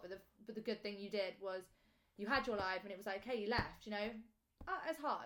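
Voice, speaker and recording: A woman speaks at a fairly quick pace in an ordinary speaking voice, her pitch medium. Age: 20s. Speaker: podcast host. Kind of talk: casual chat.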